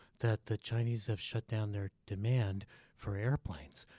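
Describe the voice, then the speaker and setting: A man speaks at a fairly low pitch with a dark, mellow tone, somewhat breathy, with ordinary pitch variation. The very clean recording sounds dry and close, with no echo and a silent background. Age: 60s. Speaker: economist and sociology professor. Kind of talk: interview.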